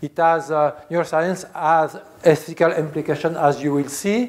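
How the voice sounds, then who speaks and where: A man speaks at a high pitch and a fairly slow pace. He has a Swiss French accent and fairly even intonation. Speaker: philosophy professor. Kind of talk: lecture. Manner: halting, many filler sounds.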